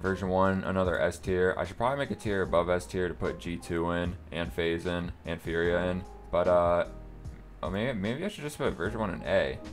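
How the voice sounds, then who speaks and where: Over music in the background, a man with a very deep, low pitch speaks at a fairly quick pace with lively intonation. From North America. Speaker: gaming content creator. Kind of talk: casual talk to camera.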